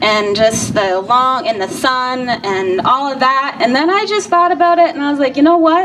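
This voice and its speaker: Over noticeable background noise, a woman talks at a moderate pace in a high pitch with lively intonation. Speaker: rally organizer. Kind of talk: rally speech. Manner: soft-spoken.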